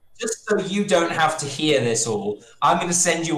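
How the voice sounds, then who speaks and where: A man talks with lively intonation while noticeable background noise runs underneath. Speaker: game master. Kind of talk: tabletop roleplay session. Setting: live stream.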